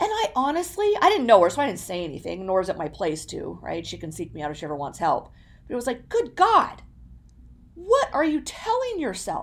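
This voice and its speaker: A woman speaks at a fairly quick pace. Her loudness swings a lot. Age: 40s. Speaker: podcast host. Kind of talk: motivational monologue. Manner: animated.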